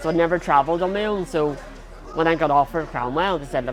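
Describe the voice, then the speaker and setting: With crowd noise in the background and audible room echo, a speaker with a Northern Irish accent talks at a very fast pace with ordinary pitch variation. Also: man. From Northern Ireland. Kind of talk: interview.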